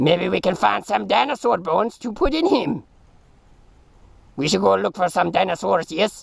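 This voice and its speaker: Putting on a cartoonish character voice, a man talks at a high pitch and a moderate pace with long, frequent pauses. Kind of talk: comic puppet voice, put-on foreign doctor. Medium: puppet show. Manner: formal, earnest, avoids contractions. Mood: cheerful plan-making.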